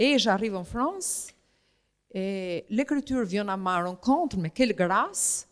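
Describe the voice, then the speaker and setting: On a very clean recording with a silent background, the speech unfolds at a fairly slow pace. Its pitch makes very wide swings. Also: woman. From Albania. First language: Albanian (speaking French). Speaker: writer and painter. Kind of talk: literary interview on stage. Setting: stage with audience in a museum gallery. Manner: hesitant, many fillers.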